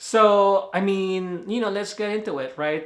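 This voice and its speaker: A man with a Filipino accent at a fairly slow pace. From Philippines. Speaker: movie reviewer. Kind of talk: casual video review. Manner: casual, hesitant with fillers.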